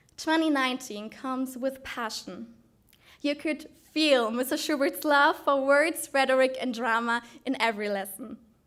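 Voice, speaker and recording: With a German accent, a woman speaks at a moderate pace in a high pitch with ordinary variation. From Germany. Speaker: student speaker in oratory contest. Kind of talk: prepared oratorical speech.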